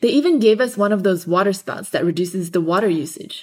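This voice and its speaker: Speaking in an ordinary speaking voice, a woman keeps a medium pitch and a fairly quick pace with ordinary pitch variation. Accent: American. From Los Angeles. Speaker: podcast host, student. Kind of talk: scripted narration.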